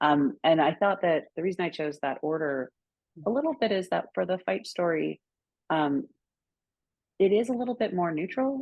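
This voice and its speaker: With lively intonation, a woman is talking. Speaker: writer. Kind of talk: interview. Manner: fast.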